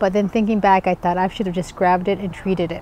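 A woman speaks in a dry room with no echo, over light background noise. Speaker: plant vlogger. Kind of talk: casual vlog chat. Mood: excited, cheerful. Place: shop. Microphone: phone near.

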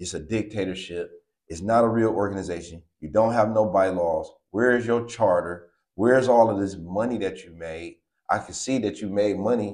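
In a quiet setting, a man with a fairly low voice speaks at a moderate pace in an animated tone, his loudness swinging widely and his pitch varying in an ordinary way. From East Cleveland, Ohio; Ohio. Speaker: dog breeder and breed advocate; guest. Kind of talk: casual interview. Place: home room. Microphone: lapel.

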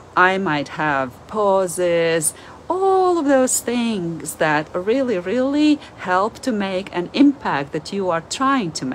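Very slow speech from a woman with a Latvian accent, very wide pitch swings and light background noise. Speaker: language teacher and video creator. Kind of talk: monologue, informal educational talk. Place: home room. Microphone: phone near.

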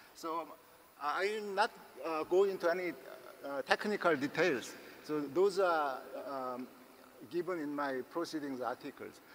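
A man speaks at a high pitch and a fairly slow pace. Light background noise can be heard. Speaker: invited lecturer. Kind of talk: lecture. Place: hall.

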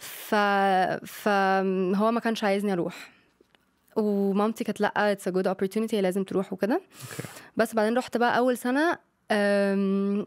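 In a quiet setting, the woman's moderate pace comes with fairly even intonation. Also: medium pitch for a woman. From Egypt (Cairo, Luxor), partly Spain; Egypt. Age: 20s. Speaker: young guest sharing life story; guest. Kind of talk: casual interview. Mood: calm, reflective storytelling. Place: studio. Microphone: studio mic.

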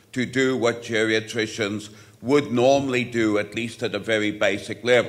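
A man at a moderate pace, monotone and flat in intonation. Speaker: conference presenter. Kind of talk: lecture. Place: hall. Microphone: podium.

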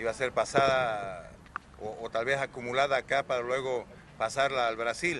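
A man is heard in a dry sound with no echo, with light background noise. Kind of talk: press conference briefing. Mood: formal, matter-of-fact. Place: street. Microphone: handheld.

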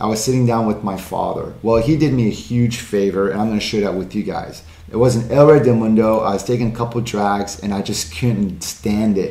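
Amid audible room echo, a man with a fairly low voice talks at a fairly quick pace with ordinary pitch variation. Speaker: cigar channel host. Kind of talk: tutorial. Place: studio.

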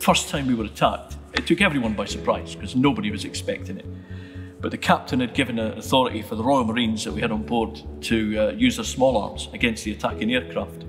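A man talks at a very fast pace with a fairly low pitch. Clear music plays in the background. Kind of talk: interview answer. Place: church.

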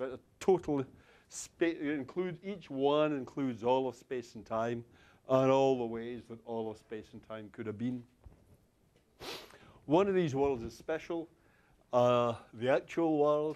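In a Scottish accent, a man speaks at a medium pitch and a fairly slow pace with long, frequent pauses. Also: ordinary pitch variation, big swings in loudness. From Glasgow, Scotland. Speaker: university lecturer. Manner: conversational, checks in with the audience often.

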